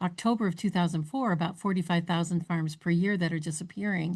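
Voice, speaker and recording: A woman speaks at a very fast pace against a quiet background. Her fairly low voice is somewhat breathy, with fairly even intonation. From north central Ohio. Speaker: podcast host. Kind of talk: interview.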